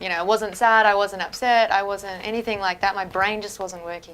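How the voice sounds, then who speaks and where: In an Australian accent, a woman speaks at a moderate pace and medium pitch, her tone bright and sharp but her intonation monotone and flat. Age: young. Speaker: woman with chronic illness. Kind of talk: testimony.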